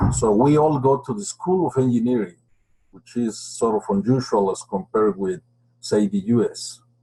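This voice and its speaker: A man with a Spanish accent speaks at a moderate pace and medium pitch. His somewhat breathy voice has a dark, mellow tone and very wide pitch swings. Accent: clear Spanish accent in English. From Mexico. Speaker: geophysicist. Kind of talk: webinar presentation.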